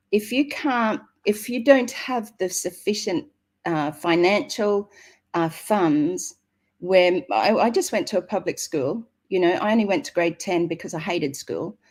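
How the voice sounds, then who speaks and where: With an Australian accent, a woman speaks at a medium pitch with very wide pitch swings, captured in a very clean recording with a silent background. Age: 60s. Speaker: network marketing member. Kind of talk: interview. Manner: halting.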